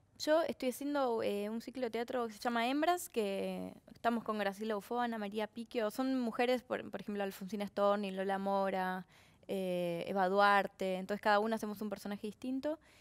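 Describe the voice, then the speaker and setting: With a Rioplatense accent, a woman talks at a moderate pace in a fairly high voice with ordinary pitch variation. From Argentina. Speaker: actress. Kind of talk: casual chat. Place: studio. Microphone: headset.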